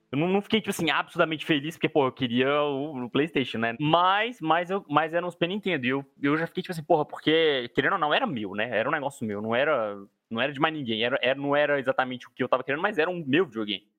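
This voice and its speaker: Very fast male speech with lively intonation and hardly any pauses. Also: fairly high pitch for a man. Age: 20s. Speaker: podcast co-host. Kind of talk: casual chat.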